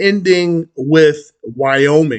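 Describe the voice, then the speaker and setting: A dry, close sound with no echo, a New York accent and ordinary pitch variation. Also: man. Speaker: credit union advocate, finance YouTuber. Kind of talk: tutorial. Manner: halting, many fillers.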